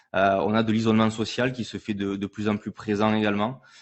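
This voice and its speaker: Fairly quick speech from a man with a southern French accent. His pitch sits fairly low. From southern France. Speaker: entrepreneur, former pro rugby player. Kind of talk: panel conference talk.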